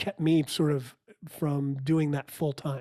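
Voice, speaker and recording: A man speaks with a normal speaking voice at a fairly high pitch, with an American accent. His pace is fairly slow and his intonation fairly even. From outside New York City. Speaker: business coach and musician. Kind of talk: casual interview.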